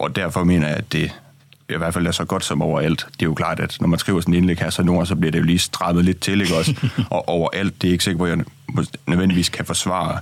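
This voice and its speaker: With noticeable background noise behind him, a man speaks very fast in a very deep, low pitch with fairly even intonation. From Denmark, Aarhus. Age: 20s. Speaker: opinion writer. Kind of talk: radio discussion. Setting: studio.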